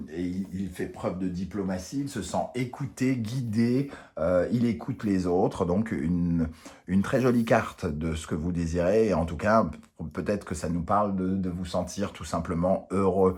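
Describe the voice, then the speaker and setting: A man is speaking. His pace is fairly slow. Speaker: tarot reader. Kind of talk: tarot reading. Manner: hesitant, many fillers.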